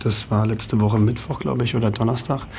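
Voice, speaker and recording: Here a man is talking. There is noticeable background noise. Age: 30s. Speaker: nightclub operator. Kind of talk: radio interview. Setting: radio studio.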